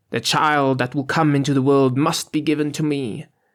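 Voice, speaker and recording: A man performs a put-on character voice, fairly high in pitch. The recording is very clean, with a silent background. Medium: read story. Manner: harsh, commanding.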